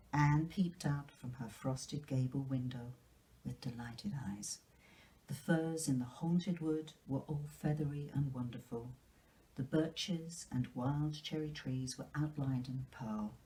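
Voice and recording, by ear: Slowly and with ordinary pitch variation, a woman speaks at an extremely low pitch, her tone dark and mellow with a slightly husky edge.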